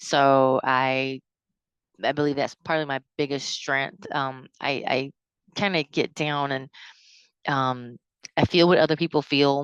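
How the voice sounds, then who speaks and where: A woman with a Southern US accent and a very deep, low pitch talks fairly slowly in a flat monotone with long, frequent pauses, recorded dry and close with no echo over a quiet background. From US South, South Carolina. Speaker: counseling student. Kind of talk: class reflection video. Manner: halting, many fillers.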